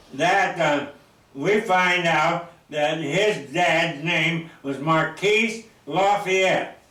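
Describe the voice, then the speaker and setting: In an American accent with ordinary pitch variation, the speech moves at a very slow pace over noticeable background noise and audible room echo. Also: man, high pitch for a man. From Oregon. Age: 90s. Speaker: local elder. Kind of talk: oral history interview. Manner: halting.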